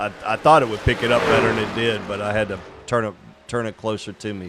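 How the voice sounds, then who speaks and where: A man speaks at a fairly quick pace in a medium pitch. Noticeable background noise runs under his voice. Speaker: sim racing stream host. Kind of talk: casual chat. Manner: quiet, low-volume speech.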